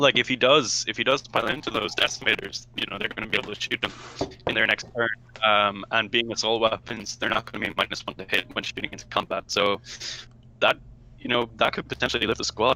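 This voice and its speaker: Someone with an Irish accent talks at a very fast pace with fairly even intonation, over noticeable background noise. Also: man, medium pitch for a man. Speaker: co-host game commentator. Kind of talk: live commentary. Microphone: crackly audio.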